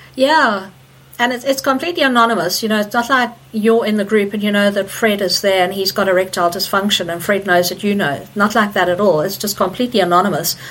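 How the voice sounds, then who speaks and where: Very fast talking from a woman, noticeable noise in the background. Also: medium pitch for a woman, ordinary pitch variation. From Zimbabwe. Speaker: energy healer. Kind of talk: interview. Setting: remote call.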